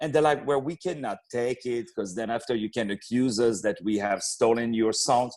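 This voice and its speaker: With a French accent, a man talks at a moderate pace with hardly any pauses. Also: medium pitch for a man, ordinary pitch variation. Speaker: opera singer and actor. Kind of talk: podcast interview. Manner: repeats words, hesitant starts.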